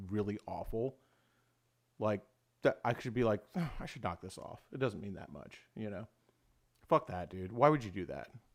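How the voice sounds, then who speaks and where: Recorded very cleanly against a silent background, a man talks at a fairly quick pace in a fairly low pitch. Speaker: livestream host. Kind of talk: casual livestream chat. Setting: livestream. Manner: loud; confident.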